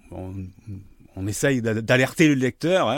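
The pace is moderate. Pitch variation is ordinary. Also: man. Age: 50s. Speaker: sociologist. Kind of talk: interview. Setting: studio with armchairs and two mics. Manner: halting, frequent repetitions and hesitations.

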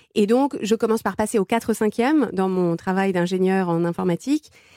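A woman's voice has a dark, mellow tone and fairly even intonation. The sound is dry and close, with no echo. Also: very clean recording, silent background. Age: 40s. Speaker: life coach and food writer. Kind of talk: interview testimony.

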